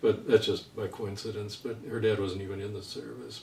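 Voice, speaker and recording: A man with an American accent at a medium pitch, amid audible room echo and noticeable background noise. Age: 70s. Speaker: writer. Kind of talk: interview. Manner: halting.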